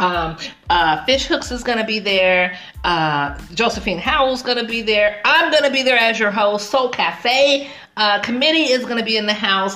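Over noticeable background noise, a woman speaks in an animated tone with lively intonation. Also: fairly high pitch for a woman, moderate pace. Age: 40s. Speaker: podcast host. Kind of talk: casual interview chat.

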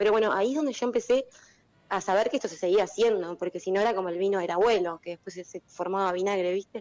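Very fast speech from a woman at a medium pitch, with ordinary pitch variation and a dry, close sound with no echo. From Uruguay. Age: 30s. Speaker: winemaker. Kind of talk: casual interview.

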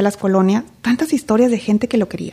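A woman with a fairly high pitch, an unremarkable speaking voice and fairly even intonation. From Mexico, Reynosa, Tamaulipas. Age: 40s. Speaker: political candidate. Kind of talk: interview.

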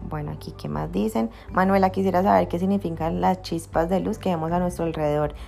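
A woman with a Cali Colombian accent speaks over noticeable background noise. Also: fairly quick pace. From Colombia, Cali. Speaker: spiritual teacher and podcaster. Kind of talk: Q&A podcast monologue.

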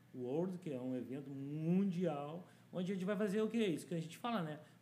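With a dark, mellow tone and fairly high pitch, a man speaks at a fairly quick pace. Audible room echo surrounds his voice. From Porto Alegre, southern Brazil. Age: 50s. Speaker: community activist. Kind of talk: interview.

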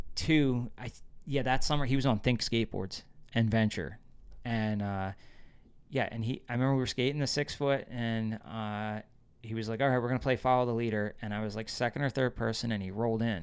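In an American accent, a man with an ordinary speaking voice and medium pitch talks at a fairly quick pace with ordinary pitch variation, on a very clean recording with a silent background. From New Jersey. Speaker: skateboarder. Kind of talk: casual chat.

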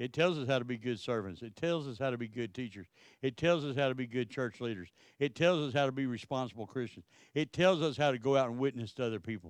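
A man with a Texan accent at medium pitch, very fast in pace, with ordinary pitch variation and a quiet background. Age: 60s. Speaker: pastor. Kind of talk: sermon.

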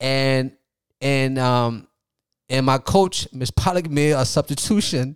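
Speaking at a very slow pace, a man with an American accent uses a medium pitch and ordinary pitch variation, recorded with a dry, close sound and no echo. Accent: Liberian with Philadelphia American English. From Liberia, then Philadelphia from youth. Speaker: soccer academy founder. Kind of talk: interview.

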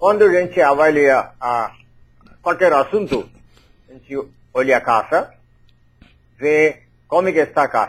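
At a fairly slow pace, a man talks with long, frequent pauses. His pitch is fairly high, with ordinary variation. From India, Kerala. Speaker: astrologer. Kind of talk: interview. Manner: halting.

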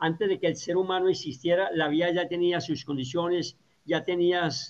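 A man's unremarkable speaking voice, fairly high in pitch, at a moderate pace. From Colombia. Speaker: agronomist and organic farming educator. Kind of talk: interview.

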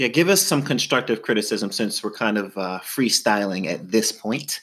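This is a man with an ordinary speaking voice. He talks at a moderate pace. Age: 30s. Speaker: podcast co-host. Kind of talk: casual chat.

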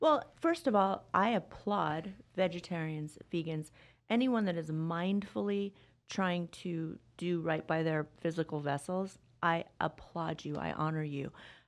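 Speaking at a fairly slow pace, a woman with a fairly low pitch uses ordinary pitch variation in an ordinary speaking voice. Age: 50s. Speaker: wellness coach. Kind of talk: interview. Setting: studio.

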